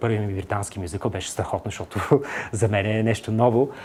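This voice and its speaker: Fairly low male voice, fairly even in intonation, on a very clean recording with a silent background. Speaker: actor. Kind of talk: TV interview. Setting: TV studio. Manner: hesitant, many filler sounds.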